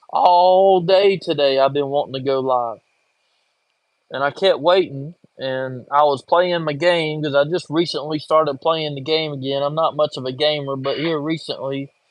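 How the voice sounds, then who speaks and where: Moderate pace and fairly even intonation in a strong Southern US accent. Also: man, fairly high pitch for a man. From coastal North Carolina, Wilmington. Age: 40s. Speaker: livestreamer, construction worker. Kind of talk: casual livestream chat. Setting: livestream from home, in his chair.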